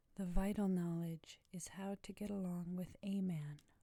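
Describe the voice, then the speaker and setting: A woman speaks at a very slow pace in a somewhat breathy, dark, mellow and relaxed tone. Her pitch is medium, with monotone, flat intonation. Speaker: ASMR creator. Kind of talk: ASMR quote reading, bedtime listening. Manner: soft-spoken, relaxed.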